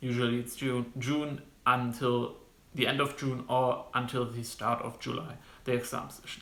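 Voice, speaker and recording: With audible room echo, a man in a German accent speaks at a moderate pace with a bright, sharp tone. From Germany. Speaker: medical student vlogger. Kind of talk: informational vlog monologue. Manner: halting, many fillers.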